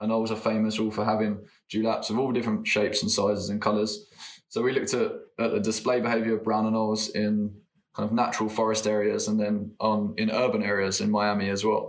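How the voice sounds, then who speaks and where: This man has a fairly low pitch and an English accent. He talks at a very fast pace in a flat, monotone way, with very even loudness. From England. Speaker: postdoctoral biologist. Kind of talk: casual chat.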